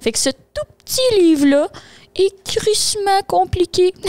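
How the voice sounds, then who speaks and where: A woman speaks at an extremely high pitch with very wide pitch swings and long, frequent pauses, in a dry, close sound with no echo. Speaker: podcast co-host. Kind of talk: casual chat; book summary. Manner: fast.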